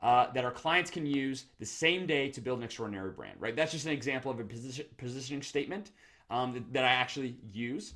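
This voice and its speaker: On a very clean recording with a silent background, a man speaks at a very fast pace. His pitch variation is ordinary. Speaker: branding consultant. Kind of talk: tutorial.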